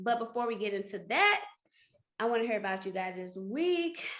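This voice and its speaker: Lively intonation marks a woman speaking with a St. Louis accent. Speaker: podcast co-host. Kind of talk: casual chat. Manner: stumbling over words.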